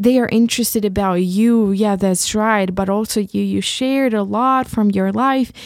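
A woman's medium-pitched voice with a Ukrainian accent and fairly even intonation. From Ukraine. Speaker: podcast host. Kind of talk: solo monologue reflecting on own podcast. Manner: halting, with many fillers.

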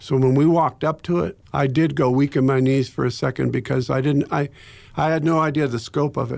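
Fairly high in pitch, a man with an American accent speaks in an ordinary speaking voice at a fairly quick pace. His intonation is fairly even on a very clean recording with a silent background. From Ohio, US. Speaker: pastor and former Navy chaplain. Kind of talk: interview, telling personal story of 9/11 aftermath. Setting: radio studio. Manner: reflective, sombre, measured.

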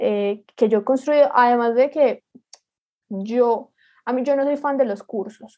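A woman with a high voice talks fairly slowly. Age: 20s. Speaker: digital marketer and entrepreneur. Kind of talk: interview.

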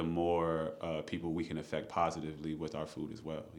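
A man with an American accent speaks in a very deep, low, monotone voice, with audible room echo. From Maryland, US. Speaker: chef and restaurant owner. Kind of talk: podcast interview. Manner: casual.

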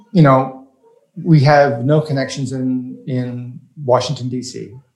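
In a room with audible echo, a man with an American accent speaks at medium pitch with fairly even intonation. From US South, rural Louisiana. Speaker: startup investor and crowdfunding advocate. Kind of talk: casual interview.

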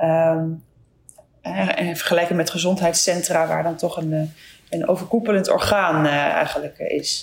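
Over noticeable background noise, a woman with a fairly low pitch speaks at a fairly slow pace and with fairly even intonation. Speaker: podcast host, general practitioner. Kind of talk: interview. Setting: video call.

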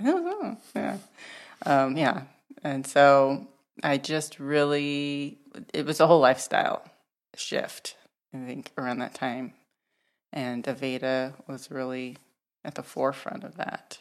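On a very clean recording with a silent background, a woman with a very deep, low pitch speaks at a fairly slow pace with ordinary pitch variation and long, frequent pauses. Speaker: hair stylist. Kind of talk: casual chat.

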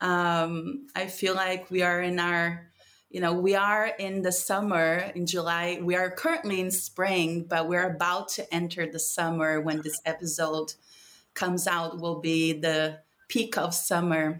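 A woman talks fairly slowly at a fairly low pitch. Her intonation is monotone and flat. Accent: Portuguese. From Brazil, São Paulo. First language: Portuguese. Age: 30s. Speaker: spiritual mentor and plant medicine practitioner. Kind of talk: casual conversation with a friend.

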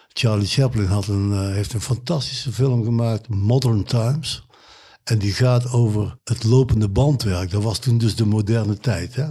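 A man speaks with a dark, mellow tone that is somewhat breathy. His pace is moderate, his intonation fairly even, and the recording is very clean with a silent background. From Kempen, Brabant. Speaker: musician, saxophonist. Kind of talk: casual chat.

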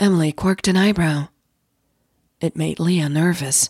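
In a very clean recording with a silent background, the voice has a slightly husky edge and slightly mellow tone, ordinary pitch variation and a fairly slow pace. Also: woman, low pitch for a woman.

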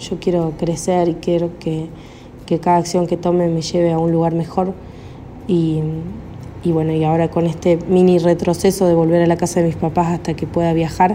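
A woman's fairly low voice, flat and monotone, at a moderate pace over noticeable background noise. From Argentina, Córdoba. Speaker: caller. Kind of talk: recorded voice message. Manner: hesitant, many fillers.

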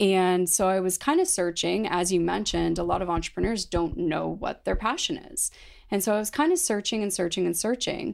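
Recorded very cleanly against a silent background, a woman with a Canadian accent speaks at a moderate pace. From London, Ontario, Canada. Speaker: founder of a bakery and energy bar company. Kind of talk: interview.

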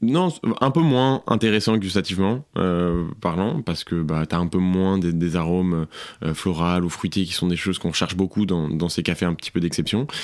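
Very deep, low male voice at a moderate pace with ordinary pitch variation, on a very clean recording with a silent background. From southern France. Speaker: coffee shop manager. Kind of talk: casual interview. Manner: casual with many fillers.

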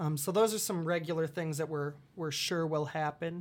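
A man with an Upper Midwest accent talks at a fairly high pitch with fairly even intonation. The recording is very clean, with a silent background. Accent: Upper Midwest American. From Iowa, US Midwest (Dubuque). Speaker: college theater director. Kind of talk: casual interview. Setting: studio. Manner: halting, many fillers.

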